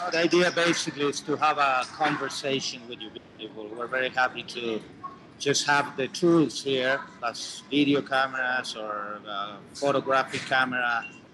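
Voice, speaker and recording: A man speaks at a moderate pace with a medium pitch that varies in an ordinary way. Noticeable background noise is present throughout. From Chile. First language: Spanish. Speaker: war cameraman. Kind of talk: casual chat. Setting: video call from a coffee shop.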